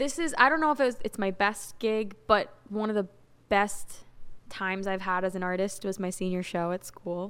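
A woman speaks in an ordinary speaking voice at a moderate pace, with medium pitch and ordinary pitch variation. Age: 20s. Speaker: singer-songwriter. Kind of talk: casual interview.

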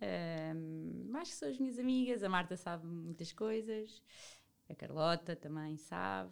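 A woman with an unremarkable speaking voice talks at a fairly slow pace, her fairly low pitch carried by lively intonation. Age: 30s. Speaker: nutritionist. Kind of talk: casual interview chat.

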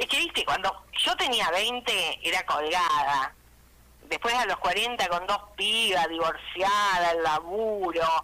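Over noticeable background noise, a woman in an Argentine accent speaks at a very slow pace. Her loudness stays very even. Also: medium pitch for a woman, ordinary pitch variation. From Argentina, Reconquista (Santa Fe). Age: 60s. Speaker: comedian. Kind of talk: stand-up.

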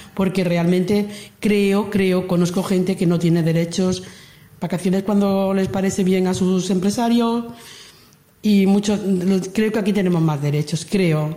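A woman's somewhat breathy, dark, mellow voice at medium pitch, moderate pace and fairly even intonation, with audible room echo. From Andalusia, Lucena (Córdoba). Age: 60s. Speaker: emigrant worker. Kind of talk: testimony.

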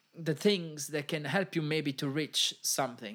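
A man speaks with an Italian accent at a moderate pace. His pitch is fairly high. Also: very clean recording, silent background. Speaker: podcast host and music industry worker. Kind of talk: casual solo podcast monologue. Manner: informal, hesitant with frequent fillers.

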